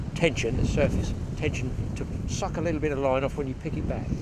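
This man's intonation shifts in an ordinary way. Noticeable background noise sits behind his voice. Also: dry sound with no echo. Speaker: fly fishing instructor. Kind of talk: tutorial. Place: waterside. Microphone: phone near.

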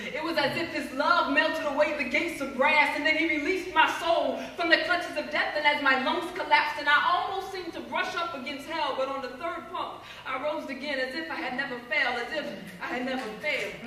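A woman's high, raised and projected voice, animated and intense, at a fairly quick pace with hardly any pauses and ordinary pitch variation, plus audible room echo and light background noise. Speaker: spoken word poet. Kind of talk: spoken word poetry performance. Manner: intense, impassioned, urgent; animated, rhythmic, building to a plea. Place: hall. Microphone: camera far.

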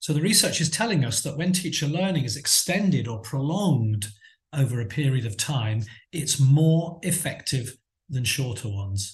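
Somewhat breathy and fairly high, a man's voice moves at a moderate pace over a quiet background. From England. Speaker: teacher trainer and coursebook author; teacher trainer. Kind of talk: conference talk. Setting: video call. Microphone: webcam.

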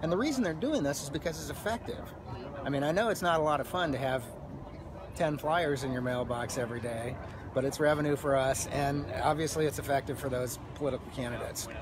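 A man at a very fast pace with ordinary pitch variation, dry sound with no echo, and noticeable background noise. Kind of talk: interview answer. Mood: earnest, explanatory. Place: street. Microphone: phone near.

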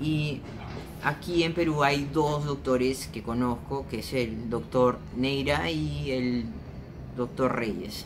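Speaking at a very slow pace, a man uses lively intonation over noticeable background noise. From Peru, Lima. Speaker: vlogger. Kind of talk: casual vlog monologue. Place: home room. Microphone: phone near.

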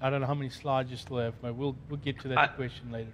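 Talking at a very fast pace, a man with a medium-pitched voice speaks in a monotone with flat intonation. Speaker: conference host. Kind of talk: panel discussion moderation. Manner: halting.

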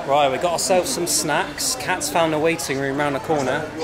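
A man talks at a moderate pace. Crowd noise carries in the background. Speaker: travel vlogger. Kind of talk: casual vlog chat. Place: station. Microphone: phone near.

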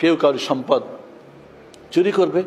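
A man is heard over light background noise. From Bangladesh. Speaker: imam. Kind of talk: sermon. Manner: animated. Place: church. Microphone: podium.

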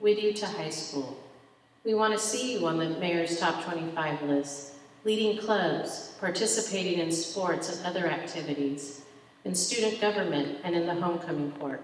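Lively intonation at a moderate pace comes through audible room echo and light background noise. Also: woman. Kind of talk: ceremony address. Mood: warm, proud, formal. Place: stage. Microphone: podium.

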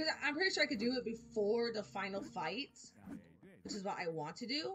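With music in the background, a woman talks in a fairly high pitch. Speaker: gaming video creator. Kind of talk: let's play commentary. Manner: halting, with fillers.

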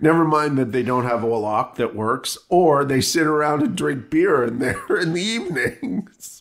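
A normal speaking voice at a fairly slow pace, with lively intonation and hardly any pauses. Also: man, fairly high pitch for a man. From US Midwest. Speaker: podcast co-host. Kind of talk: casual chat.

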